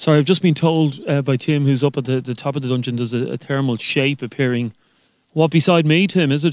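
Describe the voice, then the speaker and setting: A man speaks at a very fast pace with a fairly high pitch and ordinary pitch variation. The sound is dry with no echo against a quiet background. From Ireland. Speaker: radio co-host reporting from the castle. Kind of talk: live radio reporting, describing rooms on the move. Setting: live outside broadcast from a castle. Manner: conversational, breathless, hushed at times. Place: hall.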